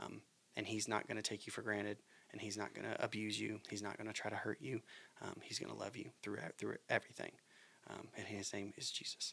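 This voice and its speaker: A man with an American accent and vocal fry talks at a fairly quick pace in a bright, sharp tone, fairly low in pitch with fairly even intonation. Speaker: podcast host. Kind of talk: casual chat. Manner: halting.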